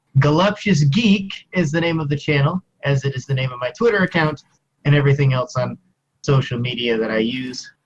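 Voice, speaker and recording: A man with an American accent, somewhat breathy, fairly high-pitched, quick-paced, and lively in intonation. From US Midwest, Missouri Ozarks. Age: 20s. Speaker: university student, YouTuber. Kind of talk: interview.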